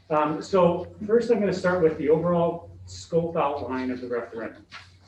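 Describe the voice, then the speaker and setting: A man talks in a somewhat breathy voice. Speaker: school construction consultant presenting to a board. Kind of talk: presentation to a school board. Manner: fast; hesitant, many fillers.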